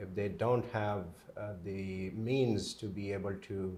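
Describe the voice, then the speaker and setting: A man with a Pakistani accent speaks in a somewhat breathy voice at a fairly low pitch, with monotone, flat intonation. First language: Urdu. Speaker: pain management doctor. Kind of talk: interview. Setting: on location at his clinic. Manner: halting, many fillers.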